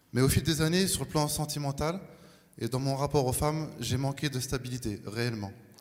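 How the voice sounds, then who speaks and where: The man's pitch is fairly high and his pace fairly quick. Room echo is audible. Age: 40s. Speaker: baptism candidate. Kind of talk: testimony. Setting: church.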